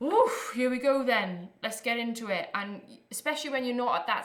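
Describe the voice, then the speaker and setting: A woman speaks in a Welsh accent. Audible room echo and noticeable background noise fill the recording. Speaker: electronic music producer and performer. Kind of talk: live stream workshop. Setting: live stream. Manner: animated.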